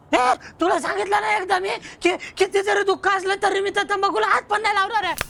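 Someone uses a put-on character voice, pitched extremely high and delivered at a fairly quick pace. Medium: comedy sketch. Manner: gruff and blustering.

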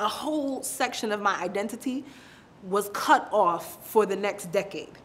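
Someone with a New York accent speaks at a moderate pace with ordinary pitch variation. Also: woman. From Brooklyn, New York. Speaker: interviewee. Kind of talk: personal storytelling interview. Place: office.

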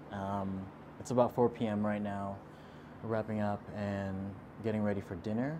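A man's fairly low voice with fairly even intonation, over noticeable background noise. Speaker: travel vlogger. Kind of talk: casual vlog chat. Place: home room.

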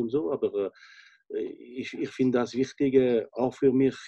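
A man's speech moves at a moderate pace. Behind him, things are quiet. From French-speaking Switzerland. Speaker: chef, restaurant owner. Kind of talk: interview answer. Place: home room. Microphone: video call.

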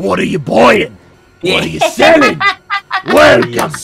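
Doing a put-on character voice, a man sounds raspy at a fairly slow pace while faint music plays in the background. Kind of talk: comic impression of a game character. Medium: virtual streamer. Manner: eager, theatrical sales pitch.

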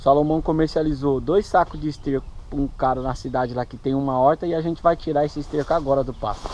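A man at a fairly quick pace, with a dry sound and no echo. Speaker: farm vlogger. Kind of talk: casual vlog chat. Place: farm. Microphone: phone near.

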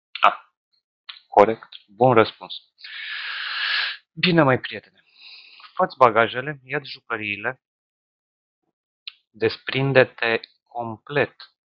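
A man talks very slowly, with long, frequent pauses and ordinary pitch variation. The sound is dry with no echo, and the background is quiet. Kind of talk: hypnosis session dialogue. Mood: calm, slow, directive. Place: home room. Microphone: headset.

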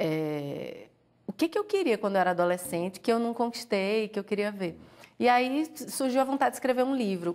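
A woman's fairly high voice at a moderate pace, with lively intonation over a quiet background. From Pernambuco, Brazil. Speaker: author, former doctor. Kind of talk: interview. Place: studio. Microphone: lapel.

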